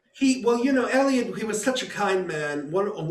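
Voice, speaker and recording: A man with an American accent at a fairly quick pace, ordinary pitch variation, audible room echo and noticeable background noise. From United States. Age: 60s. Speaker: composer. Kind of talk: interview. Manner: halting, many repetitions.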